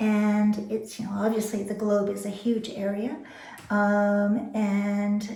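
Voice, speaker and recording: A woman of medium pitch speaks with audible room echo. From immigrated to Canada by boat. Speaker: weaver. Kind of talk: interview.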